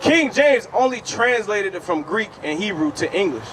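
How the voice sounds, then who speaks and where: A loud man at a fairly quick pace, his pitch swinging very widely, over noticeable background noise. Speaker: street preacher. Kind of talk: street preaching debate.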